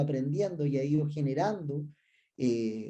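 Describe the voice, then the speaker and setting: This man has a fairly high pitch and a dark, mellow tone that is somewhat breathy. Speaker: research director and business school professor. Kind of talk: conference presentation. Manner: some hesitations and filler sounds.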